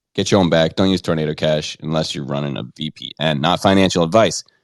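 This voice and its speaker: Speaking with an American accent at a moderate pace, a man with a very deep, low pitch sounds dry and close with no echo. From New York, Orange County. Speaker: podcast host. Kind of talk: casual chat. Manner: animated.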